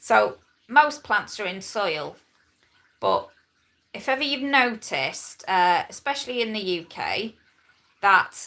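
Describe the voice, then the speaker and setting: A woman with a bright, sharp tone and vocal fry talks at a very slow pace, with long, frequent pauses. Her fairly high pitch moves in very wide swings. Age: 40s. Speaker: lifestyle vlogger. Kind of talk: casual live stream chat. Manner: chatty, rambling with hesitations.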